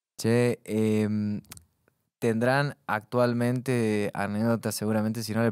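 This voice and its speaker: In a quiet background, a man with a fairly low pitch speaks with monotone, flat intonation and a dry sound with no echo. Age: 20s. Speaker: podcast host. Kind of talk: casual interview. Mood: relaxed, joking. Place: studio. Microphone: studio mic.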